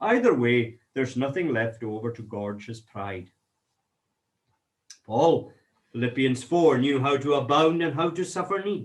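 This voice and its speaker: With a Scottish Highland accent, a man at a fairly high pitch talks at a moderate pace with lively intonation. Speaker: minister. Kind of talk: sermon reading and commentary.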